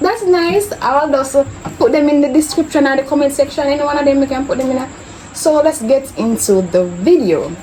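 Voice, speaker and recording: Over noticeable background noise, a woman with a Jamaican accent speaks at a fairly quick pace, her high pitch moving in very wide swings. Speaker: YouTuber. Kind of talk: casual chat.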